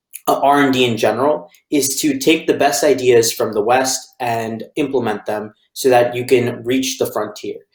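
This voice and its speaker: Speaking with an American accent and hardly any pauses, a man has a plain, everyday voice at a medium pitch, a moderate pace, and fairly even intonation. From United States. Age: 20s. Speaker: author and panelist. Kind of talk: panel discussion opening remarks.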